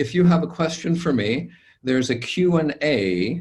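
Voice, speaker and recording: A man speaks at a fairly slow pace with lively intonation. He has a normal speaking voice. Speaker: lawyer and meditation teacher. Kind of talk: webinar instructions. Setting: webinar video call.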